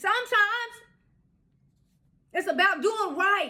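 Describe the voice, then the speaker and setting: A woman's raised, projected voice, bright and sharp in tone, with an American accent. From Iowa, US Midwest. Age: 60s. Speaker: social skills vlogger. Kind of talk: casual monologue. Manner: halting, with repetitions.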